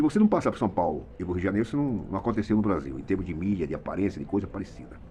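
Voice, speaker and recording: A man with a very deep, low pitch and a dark, mellow tone races along at a very fast pace with hardly any pauses, lively intonation and vocal fry. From Brazil, Mato Grosso. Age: 70s. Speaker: retired radio and TV journalist. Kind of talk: opinion monologue. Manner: animated.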